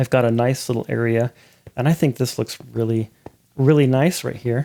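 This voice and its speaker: Mumbling at a moderate pace, a man with a dark, mellow tone and medium pitch keeps his intonation fairly even in a dry, close recording with no echo. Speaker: gaming video creator. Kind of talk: gameplay commentary. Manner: casual, halting with self-corrections; mumbling to himself.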